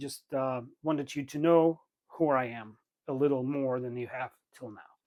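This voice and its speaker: In a very clean recording against a silent background, a man talks. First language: Russian/Ukrainian. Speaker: knife YouTuber, engineer. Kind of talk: tutorial; casual chat. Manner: halting, many fillers.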